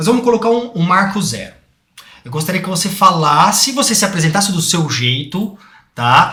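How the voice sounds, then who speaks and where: In a room with audible echo, a man projects his voice in a high pitch with lively intonation at a moderate pace. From Brazil, interior of São Paulo (Bauru). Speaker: podcast host. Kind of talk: podcast interview.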